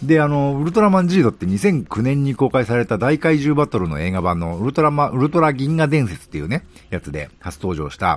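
Very wide pitch swings mark this voice, which moves at a very fast pace. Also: man. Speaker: podcast host. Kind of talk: casual monologue.

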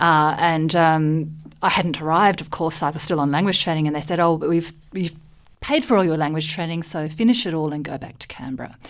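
In an Australian accent, a woman speaks with a very deep, low pitch and fairly even intonation. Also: fairly quick pace. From Malaysia and Australia. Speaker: diplomat. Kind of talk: radio interview. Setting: studio. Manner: hesitant, many fillers.

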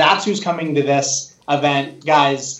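Noticeable noise sits in the background. A man talks fairly slowly. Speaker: co-host. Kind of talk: live interview chat.

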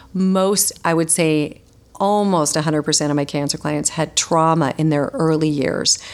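A woman with a very deep, low voice speaks at a moderate pace, her intonation fairly even and her loudness very even. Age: 50s. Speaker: holistic nutritionist and author. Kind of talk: interview.

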